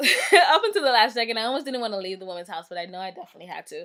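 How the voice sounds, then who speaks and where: Bright and sharp in tone, a woman's fairly high voice rushes along at a very fast pace. Her intonation is lively. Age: 20s. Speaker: video blogger. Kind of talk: casual vlog monologue. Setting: at home.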